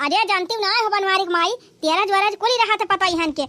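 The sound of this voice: A woman talks very fast in a cartoonish character voice at extremely high pitch. Her pitch varies in an ordinary way, and her loudness stays very even.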